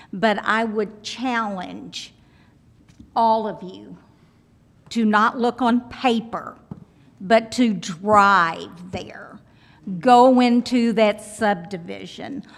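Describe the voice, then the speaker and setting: A woman with a fairly high pitch, very slow and fairly even, with long, frequent pauses and big swings in loudness. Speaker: resident speaking at public hearing. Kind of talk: public comment.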